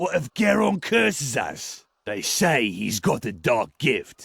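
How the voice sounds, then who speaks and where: Using a put-on character voice, a man speaks at medium pitch and a fairly slow pace with very wide pitch swings. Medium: video game. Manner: blunt, simple.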